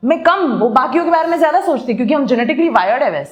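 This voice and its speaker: A woman's animated voice. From Bengal, eastern India. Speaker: podcast host and dentist. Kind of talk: casual talk show discussion, Hindi-English mix.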